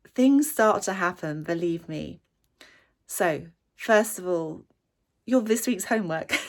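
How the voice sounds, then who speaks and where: At a fairly slow pace with long, frequent pauses, a woman in an English accent speaks at medium pitch with lively intonation in a very clean recording with a silent background. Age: 50s. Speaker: vlogger. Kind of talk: casual vlog talk to camera.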